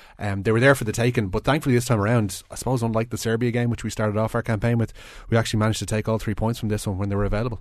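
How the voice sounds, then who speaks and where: A man with an Irish accent and a medium pitch talks at a very fast pace in a monotone, flat way over a quiet background. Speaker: sports broadcaster. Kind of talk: sports preview.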